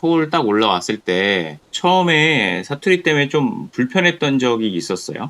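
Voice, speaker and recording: A man talks at a fairly slow pace with hardly any pauses, in a fairly high pitch. His bright, sharp voice makes very wide pitch swings. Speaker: channel host, interviewer. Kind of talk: interview questions.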